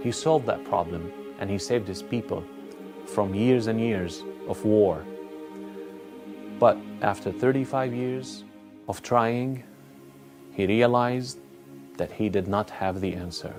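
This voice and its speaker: Very wide pitch swings at a fairly slow pace, long, frequent pauses, and music in the background. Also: man, fairly low pitch for a man. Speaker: imam, Islamic scholar. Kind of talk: religious lecture, narrating a story to camera.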